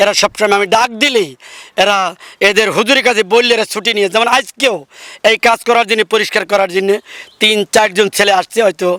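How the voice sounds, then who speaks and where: In a dry, close recording with no echo, a man uses a raised, projected voice with a high pitch, a bright, sharp tone, fairly even intonation and very even loudness. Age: 60s. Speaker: local councillor. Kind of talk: field interview.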